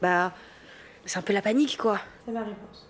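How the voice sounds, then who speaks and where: A rather brisk female voice of medium pitch, its pitch varying in an ordinary way. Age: 20s. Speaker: emergency medicine resident. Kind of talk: documentary interview and patient consultations.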